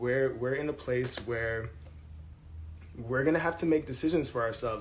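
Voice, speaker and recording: A man of medium pitch speaks with audible room echo. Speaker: tarot reader. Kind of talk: tarot reading monologue. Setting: apartment with thin walls. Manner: loud; casual, filler-heavy.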